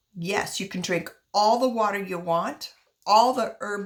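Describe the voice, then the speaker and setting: In a normal speaking voice, a woman talks fairly slowly at a medium pitch with lively intonation. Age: 60s. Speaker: wellness vlogger. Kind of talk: personal testimony and tips.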